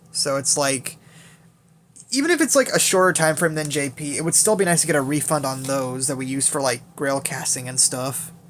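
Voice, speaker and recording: Over noticeable background noise, a man talks at a fairly quick pace in a fairly high voice with fairly even intonation. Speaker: gaming YouTuber. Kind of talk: game account showcase. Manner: fast; casual, filler-heavy.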